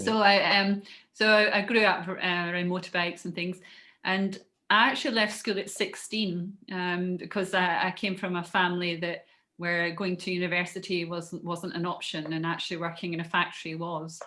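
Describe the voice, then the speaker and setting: A woman's fairly low voice carries a bright, sharp tone and fairly even intonation on a very clean recording with a silent background. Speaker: podcast guest, business owner. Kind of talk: interview storytelling. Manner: hesitant, many fillers.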